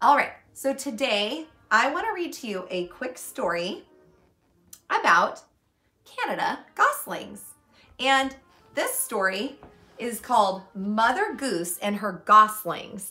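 A woman's high-pitched voice at a very slow pace, with long, frequent pauses, big swings in loudness, and faint music in the background. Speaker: teacher. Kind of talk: storytime lesson for children. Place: home room. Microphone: camera far.

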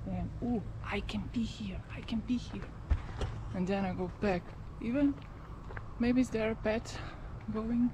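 Amid noticeable background noise, a woman speaks with long, frequent pauses. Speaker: vlogger. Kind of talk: casual vlog chat. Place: open country. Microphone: phone near.

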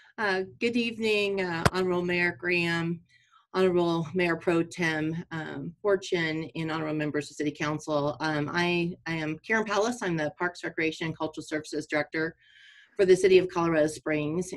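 With a normal speaking voice, a woman talks fairly quickly at a fairly low pitch and with fairly even intonation. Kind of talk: formal presentation to council. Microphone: video call.

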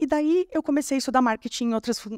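The voice sits on a quiet background with a dry sound and no echo. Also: woman. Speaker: copywriter and conference speaker; conference speaker. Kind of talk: conference talk. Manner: fast. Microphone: handheld.

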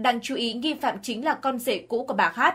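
Music plays in the background as a woman speaks at a high pitch. Her pace is moderate and her pitch variation ordinary. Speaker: news narrator. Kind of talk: news reading. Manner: formal.

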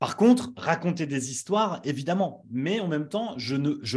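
Against a quiet background, a man talks at a moderate pace in a somewhat breathy voice with very wide pitch swings. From northern France (Nord-Pas-de-Calais). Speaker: brand strategist and agency founder; interviewee, brand coach. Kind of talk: interview. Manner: hesitant, many fillers. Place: home room. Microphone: studio mic.

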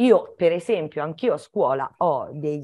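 The background stays quiet. A woman talks with lively intonation. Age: 60s. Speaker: primary school teacher; primary school teacher, guest. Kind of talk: educational Q&A talk for children. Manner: halting, with many fillers and restarts. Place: home room. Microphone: video call.

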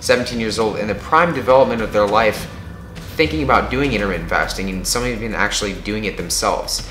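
A man's fairly low voice at a fairly quick pace, with music in the background and audible room echo. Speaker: fitness vlogger. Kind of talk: casual vlog chat. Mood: earnest, cautionary. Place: home room. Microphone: camera far.

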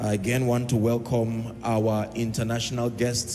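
Faint music sits in the background. A man speaks at a fairly slow pace in a monotone, flat intonation. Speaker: church minister. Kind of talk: sermon. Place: hall. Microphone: handheld.

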